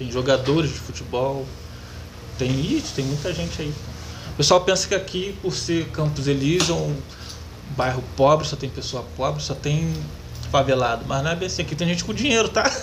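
At a moderate pace, a man with a fairly high voice speaks with lively intonation and long, frequent pauses. Audible room echo and noticeable background noise are present. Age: 30s. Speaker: metalworker and YouTuber. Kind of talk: interview.

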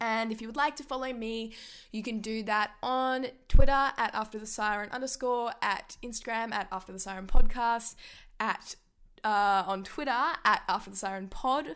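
With an Australian accent, a woman speaks at a moderate pace in a fairly high voice with ordinary pitch variation. Her tone is animated, her loudness swings widely, and the recording is very clean with a silent background. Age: 20s. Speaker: sports podcaster. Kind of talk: solo sports commentary podcast.

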